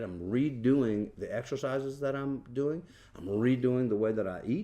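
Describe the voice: A man's medium-pitched voice, dark and mellow in tone, with lively intonation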